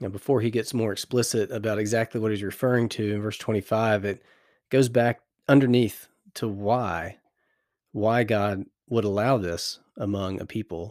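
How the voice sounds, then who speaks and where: Recorded very cleanly with a silent background, a man with an American accent and a plain, everyday voice speaks at a moderate pace and a fairly low pitch. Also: fairly even intonation. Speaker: Bible meditation podcast host. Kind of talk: Bible meditation teaching. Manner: calm and gentle.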